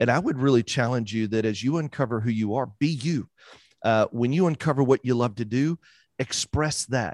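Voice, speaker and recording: A man's medium-pitched, unremarkable speaking voice in a dry, close sound with no echo. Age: 40s. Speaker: mortgage branch manager and podcaster. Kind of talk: casual interview chat.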